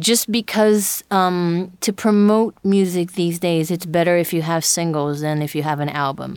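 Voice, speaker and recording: With an American accent and a normal speaking voice, a woman speaks at a moderate pace with a fairly low pitch and ordinary pitch variation in a very clean recording with a silent background. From Brazil, with years in Japan and the US. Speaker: singer-songwriter. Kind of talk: interview.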